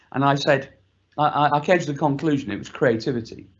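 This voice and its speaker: Using a plain, everyday voice, a man with a fairly high pitch talks at a fairly quick pace. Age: 60s. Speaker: panelist. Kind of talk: panel discussion.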